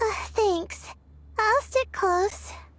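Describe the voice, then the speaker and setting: This woman puts on a squeaky character voice. Her pitch sits extremely high. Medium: video game. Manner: hesitant, soft-spoken, with frequent "uh".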